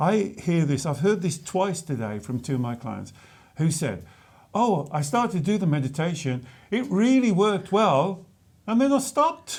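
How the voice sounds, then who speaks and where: Speaking at a moderate pace in a West Midlands accent, a man uses a high pitch with very wide pitch swings. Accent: West Bromwich. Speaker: spiritual coach. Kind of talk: casual chat. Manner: halting, repeats words.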